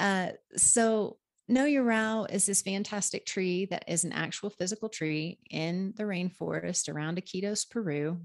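A woman speaks in a normal speaking voice at a medium pitch and moderate pace, with ordinary pitch variation. The background is quiet. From Oklahoma. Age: 40s. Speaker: plant medicine healer. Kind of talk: casual interview.

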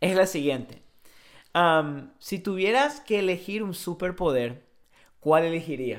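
Speaking very slowly with a strong Paraguayan accent, a man uses a high pitch and lively intonation. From Paraguay (Encarnación). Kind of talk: casual chat.

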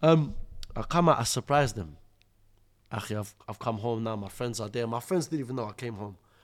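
Speaking very fast with a London accent, a man uses lively intonation at a medium pitch. The recording is very clean, with a silent background. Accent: London multicultural English. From Iraq (Mosul), raised in London. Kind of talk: casual interview with personal testimony. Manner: animated.

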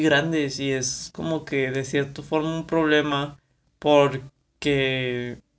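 A man speaks at a fairly high pitch, his intonation fairly even. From Mexico, Monterrey, Nuevo León. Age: 20s. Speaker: podcaster. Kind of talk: casual monologue. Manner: halting, many fillers.

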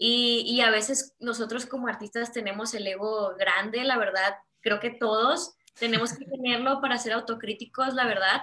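Speaking at a moderate pace, a woman uses a plain, everyday voice with fairly even intonation. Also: fairly high pitch for a woman. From Mexico. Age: 20s. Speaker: visual artist. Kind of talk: interview conversation.

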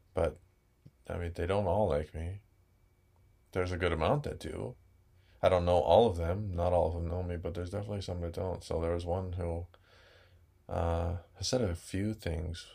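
Very deep, low male voice, somewhat breathy and calm in tone, with long, frequent pauses. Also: fairly even intonation, moderate pace. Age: 20s. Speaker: Hawaiian language teacher. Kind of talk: casual interview.

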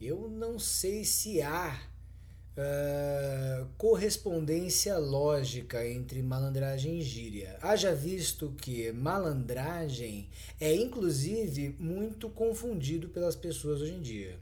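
Fairly high in pitch and somewhat breathy, a man with a strong São Paulo accent speaks in a dark, mellow tone with very wide pitch swings. His pace is very slow, and audible room echo surrounds him. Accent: paulista, strong. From São Paulo, Brazil. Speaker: podcast co-host. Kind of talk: casual chat.

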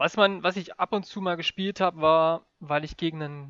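A man's bright, sharp tone with ordinary pitch variation over a quiet background. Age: 20s. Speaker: esports gamer. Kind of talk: casual chat. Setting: remote call.

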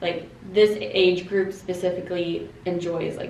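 Noticeable background noise and audible room echo surround a woman speaking with a Canadian accent. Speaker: finance-savvy guest. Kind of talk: casual chat.

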